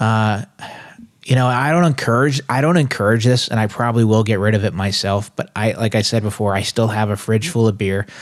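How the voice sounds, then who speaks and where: Loudness stays very even as a man speaks at a medium pitch and a fairly quick pace with ordinary pitch variation. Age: 30s. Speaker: co-host sharing recovery testimony. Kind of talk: testimony. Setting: studio. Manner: halting.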